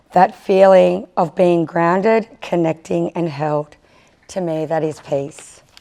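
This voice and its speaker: Speaking with an Australian accent, a woman shows ordinary pitch variation. Her pace is very slow. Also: fairly low pitch for a woman. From Australia (First Nations). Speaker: First Nations community leader. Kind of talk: conference panel speech. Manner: halting.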